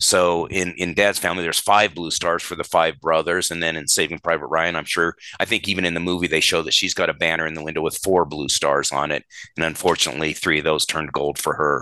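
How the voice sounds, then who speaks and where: A man with an American accent, very deep and low in pitch, with a bright, sharp tone, a monotone, flat intonation and a very fast pace. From Colorado, US. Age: 60s. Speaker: podcast co-host, family history researcher. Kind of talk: casual chat. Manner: hesitant, many fillers.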